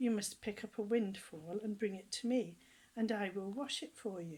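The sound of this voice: With fairly even intonation, the speaker uses an unforced reading voice.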